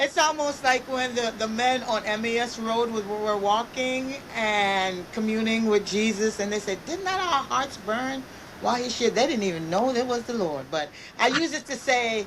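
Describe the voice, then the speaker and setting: Her pitch is fairly high and her intonation lively as the woman speaks at a moderate pace. Background noise is noticeable. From Jamaica. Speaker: guest speaker on leadership. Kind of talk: casual interview.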